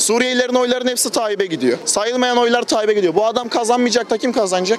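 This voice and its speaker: With hardly any pauses, a man rushes along at a very fast pace in an extremely high pitch and an animated tone, the sound dry with no echo and light background noise behind him. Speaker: earthquake survivor; interviewee. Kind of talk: heated debate; street interview answer. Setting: outdoors. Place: street.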